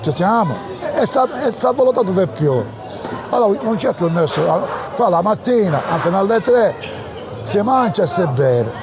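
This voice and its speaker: A man at a high pitch with very wide pitch swings and a fairly slow pace, with music in the background. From Palermo, Sicily. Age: 80s+. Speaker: elderly local resident. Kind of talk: personal storytelling interview. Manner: halting, repetitive.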